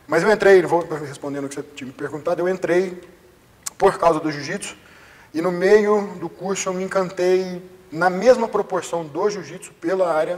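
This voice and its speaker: At a moderate pace, a man with a high pitch and ordinary pitch variation speaks with big swings in loudness and long, frequent pauses over noticeable background noise. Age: 30s. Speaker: jiu-jitsu instructor and personal trainer. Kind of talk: interview.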